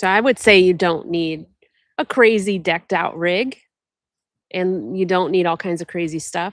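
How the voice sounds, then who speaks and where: With an American accent, a woman speaks at a medium pitch with ordinary pitch variation and long, frequent pauses, in a very clean recording over a silent background. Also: moderate pace. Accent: Ohio accent, noticed by others. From Ohio, US Midwest. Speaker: overlanding vlogger. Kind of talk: live Q&A stream, casual chat.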